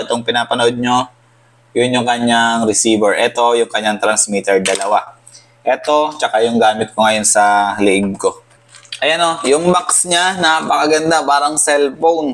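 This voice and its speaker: Over noticeable background noise, a man speaks at a medium pitch and moderate pace, with ordinary pitch variation and very even loudness. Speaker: motorcycle vlogger. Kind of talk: unboxing vlog. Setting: apartment.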